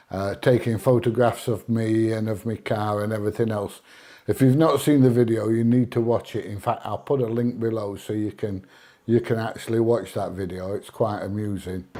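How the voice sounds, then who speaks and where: A man with an English accent, medium-pitched, dark and mellow in tone, at a moderate pace with fairly even intonation. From England. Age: 60s. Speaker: YouTuber filming in public. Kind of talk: casual reaction commentary; casual chat.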